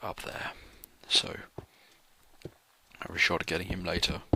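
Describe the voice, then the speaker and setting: The speaker is whispering. The accent is British. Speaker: gamer doing a let's play. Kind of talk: gameplay commentary. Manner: halting.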